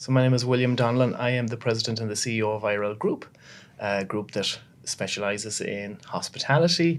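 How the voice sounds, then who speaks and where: A man with a western Irish accent, medium in pitch, at a fairly quick pace with ordinary pitch variation, in a very clean recording over a silent background. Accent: Irish (west of Ireland). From Ireland, Galway. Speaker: business executive, carpenter by trade. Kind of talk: podcast interview.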